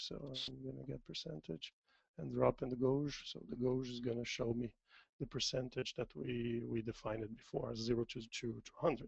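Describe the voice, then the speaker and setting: A man speaks at a moderate pace with a medium pitch and lively intonation, in a French accent. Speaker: software demo presenter. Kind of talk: tutorial. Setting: webinar.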